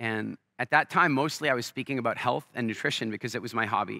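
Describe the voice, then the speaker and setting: A man's animated, bright, sharp voice at medium pitch with an American accent, very fast, with vocal fry and a dry, close sound with no echo. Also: very clean recording, silent background. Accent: often taken for American. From Canada. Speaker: entrepreneur and business speaker. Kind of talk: stage interview with storytelling. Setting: stage with live audience.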